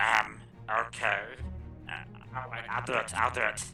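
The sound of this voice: Over faint background music, a man in a put-on character voice speaks at a moderate pace with a fairly low pitch, vocal fry, a bright, sharp tone and little pitch movement.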